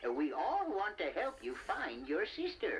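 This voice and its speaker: Someone performs a put-on character voice at a fairly slow pace. Clear background noise runs underneath. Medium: audio drama. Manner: stammering, hesitant.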